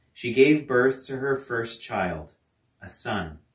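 A somewhat breathy voice at a very slow pace, with audible room echo. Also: man. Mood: calm, reverent. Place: home room. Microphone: camera far.

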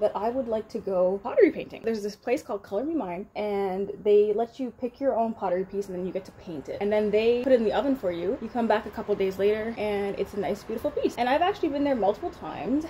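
A woman's very fast speech with hardly any pauses, light background noise behind it. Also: lively intonation. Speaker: vlogger. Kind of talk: casual vlog chat. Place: home room. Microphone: phone near.

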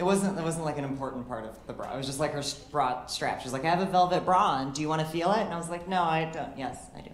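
With an American accent and a very deep, low pitch, a woman talks at a very fast pace with hardly any pauses, amid audible room echo and light background noise. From Illinois, US Midwest. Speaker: stand-up comedian. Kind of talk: stand-up comedy set, confessional dating anecdotes with deadpan punchlines. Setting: comedy club stage with laughing audience. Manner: conversational storytelling, acting out quoted dialogue between herself and others; wry, self-deprecating, occasionally stumbling over words. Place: stage. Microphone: handheld.

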